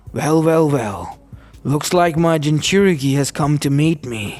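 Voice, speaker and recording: A man puts on a rumbling character voice with a fairly high pitch, speaking at a fairly slow pace. Faint music plays in the background. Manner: menacing, mocking.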